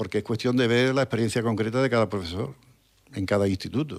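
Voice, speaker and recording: A man speaks with an Andalusian accent. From Trebujena, Cádiz, Andalusia, Spain. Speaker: retired history teacher. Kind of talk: radio interview answer. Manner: hesitant, reflective.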